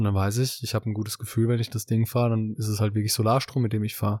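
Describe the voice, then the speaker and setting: The tone is dark and mellow, somewhat breathy. It is a very clean recording with a silent background and a dry, close sound without echo. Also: man. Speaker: podcast co-host and company co-founder. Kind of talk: casual conversational podcast. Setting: studio, sitting next to co-host.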